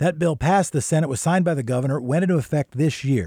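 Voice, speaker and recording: Dark and mellow yet upbeat in tone, a man's somewhat breathy voice sits on a very clean recording with a silent background. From Oregon, US. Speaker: local news podcast host. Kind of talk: news reading. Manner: brisk, clear, newscaster delivery with a conversational, upbeat aside.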